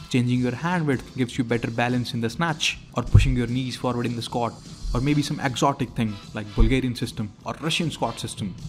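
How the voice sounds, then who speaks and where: Music sits in the background. Over it, a man talks at a fairly quick pace. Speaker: weightlifting video creator. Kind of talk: humorous voice-over narration.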